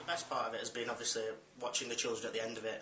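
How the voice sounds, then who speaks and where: A man's very fast speech in a Lancashire accent at medium pitch, with audible room echo and noticeable background noise. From Darwen, Lancashire, northern England. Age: 20s. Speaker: football coach. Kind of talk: interview testimony.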